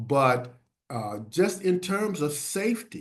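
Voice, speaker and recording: With an American accent, a man speaks at a very slow pace. His intonation is lively. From US Northeast (Philadelphia). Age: 70s. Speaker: health educator on HIV and aging. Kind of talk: webinar presentation. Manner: halting, many filler words.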